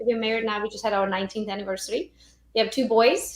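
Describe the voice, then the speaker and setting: A woman with a Romanian accent speaks at a fairly high pitch with ordinary pitch variation. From Romania (Transylvania). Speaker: real estate agent and social media trainer. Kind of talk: podcast interview. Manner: animated.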